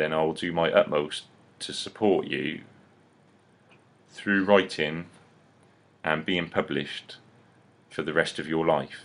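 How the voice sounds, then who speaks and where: This man talks at a very slow pace in a very deep, low pitch, leaving long, frequent pauses. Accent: English. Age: 30s. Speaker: publisher and seminar presenter. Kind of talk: seminar preview talk. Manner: halting, repetitive; animated.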